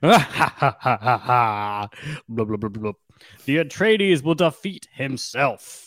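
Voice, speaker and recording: A man's cackling, put-on character voice at a medium pitch and a very slow pace, on a very clean recording with a silent background. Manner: cackling, maniacal, mocking.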